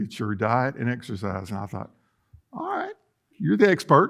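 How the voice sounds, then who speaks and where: A man talks fairly quickly, and the background stays quiet. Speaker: pastor. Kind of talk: sermon. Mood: humorous, folksy. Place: church.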